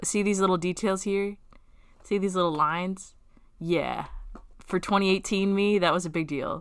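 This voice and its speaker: A woman with an American accent speaks in an animated tone at a fairly low pitch. The recording is very clean, with a silent background. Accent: Southern accent, slips out sometimes. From Texas. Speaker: webcomic artist. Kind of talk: casual read-along commentary.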